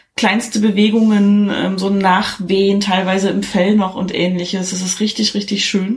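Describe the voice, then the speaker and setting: With hardly any pauses, a woman talks in a somewhat breathy voice and a monotone, flat intonation. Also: medium pitch for a woman, moderate pace. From eastern Germany. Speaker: podcaster. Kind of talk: plot summary; casual chat.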